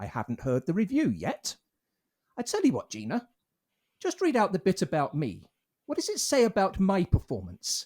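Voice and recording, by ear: At a moderate pace, a man does a put-on character voice, pitched high with very wide pitch swings and a slightly mellow tone.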